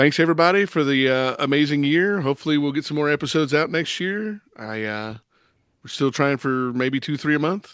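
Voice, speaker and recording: A man with an unremarkable speaking voice, fairly high pitch and ordinary pitch variation at a fairly quick pace, on a very clean recording with a silent background. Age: 40s. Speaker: film podcast host. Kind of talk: casual chat.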